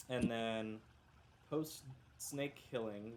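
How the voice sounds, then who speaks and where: A man talks at a very slow pace, his medium pitch showing ordinary pitch variation. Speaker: game master. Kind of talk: tabletop game recap. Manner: casual, filler-heavy.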